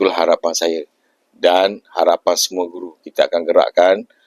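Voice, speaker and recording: A man at a fairly slow pace, dry and close with no echo. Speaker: school principal. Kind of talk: interview. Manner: hesitant with many fillers.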